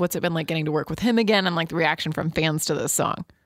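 A woman's fairly low voice, with an American accent, is captured on a very clean recording with a silent background. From US Midwest, central Illinois. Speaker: podcast host. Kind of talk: interview.

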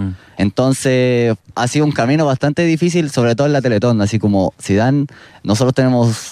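A man with a dark, mellow tone talks at a fairly quick pace with ordinary pitch variation. The sound is dry and close with no echo, over a quiet background. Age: 20s. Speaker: wheelchair basketball player. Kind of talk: casual interview.

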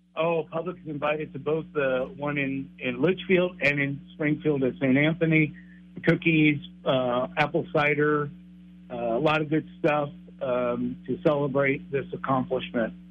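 Here a man has a plain, everyday voice with a fairly high pitch. He speaks at a fairly slow pace with fairly even intonation. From Texas and Hawaii. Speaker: priest. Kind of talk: interview. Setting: studio.

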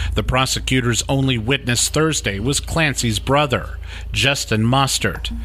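A man speaks at a fairly slow pace with very even loudness. Noticeable background noise is present. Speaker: crime reporter podcast host. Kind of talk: true-crime narration. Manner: measured, serious; steady, storytelling delivery.

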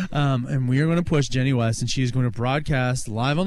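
A medium-pitched man's voice at a fairly quick pace, with noticeable background noise and audible room echo. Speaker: radio host. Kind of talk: casual chat.

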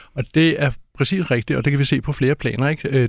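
A man with a medium pitch and an unremarkable speaking voice is heard on a very clean recording with a silent background. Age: 50s. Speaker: author and climate researcher. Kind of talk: interview.

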